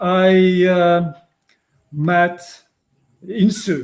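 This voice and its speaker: A man with a Polish accent speaks in a high pitch. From Poland. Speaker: psychotherapist. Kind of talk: interview. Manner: halting.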